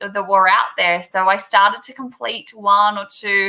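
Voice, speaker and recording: A woman's fairly high, bright, sharp voice at a moderate pace, in an Australian accent. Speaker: teacher. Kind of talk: video call interview.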